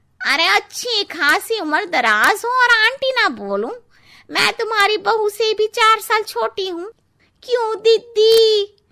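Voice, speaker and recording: A woman uses a cartoonish character voice at an extremely high pitch. Her delivery comes at a fairly slow pace. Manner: blunt.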